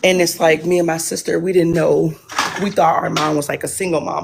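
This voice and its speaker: Over noticeable background noise, a woman with an American accent talks at a fairly quick pace in a monotone, flat delivery. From Detroit, US Midwest. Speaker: caller. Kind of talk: personal story on a live call-in show. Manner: halting.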